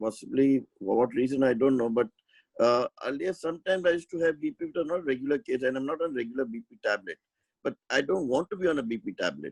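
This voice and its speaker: A man talks at a very fast pace, his intonation lively. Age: 60s. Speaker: webinar participant asking health questions. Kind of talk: question and answer in an online health session. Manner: halting, many fillers.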